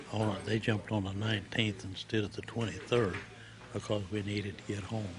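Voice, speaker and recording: With an Oklahoma accent, a man talks at a fairly quick pace in a fairly low, monotone voice with flat intonation. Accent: Oklahoma Southern American. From Oklahoma, USA. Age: 80s+. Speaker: World War II paratrooper veteran. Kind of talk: interview answer.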